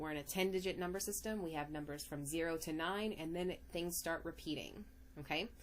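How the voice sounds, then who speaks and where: A woman's very deep, low voice with vocal fry and audible room echo. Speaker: math teacher. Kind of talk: lecture. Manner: animated.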